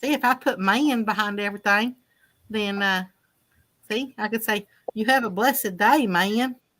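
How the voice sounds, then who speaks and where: In a very clean recording with a silent background, a woman's fairly high, bright, sharp voice is broken by long, frequent pauses. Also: ordinary pitch variation, moderate pace. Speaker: livestream guest. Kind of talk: casual chat.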